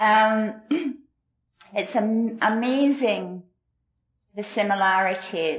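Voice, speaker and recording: A woman speaks in a Glasgow accent with a warm tone. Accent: Scottish, Glasgow. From Glasgow, Scotland. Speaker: AA meeting speaker. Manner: warm, self-deprecating, laughs often.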